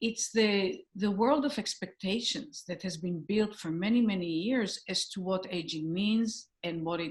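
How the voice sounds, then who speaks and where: Against a quiet background, a woman speaks at a fairly slow pace. Her voice is somewhat breathy, with lively intonation. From Israel. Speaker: movement teacher and psychologist. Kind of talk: interview.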